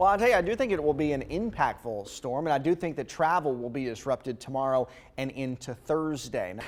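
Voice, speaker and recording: Delivered at a fairly quick pace, an unremarkable speaking voice carries lively intonation. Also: man, fairly high pitch for a man. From North Carolina, USA. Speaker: TV meteorologist. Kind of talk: live TV weather clips. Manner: upbeat, friendly.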